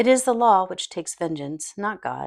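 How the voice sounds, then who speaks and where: A woman with an unremarkable speaking voice and lively intonation at a moderate pace, on a very clean recording with a silent background. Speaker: audiobook narrator. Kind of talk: audiobook reading of a self-help book.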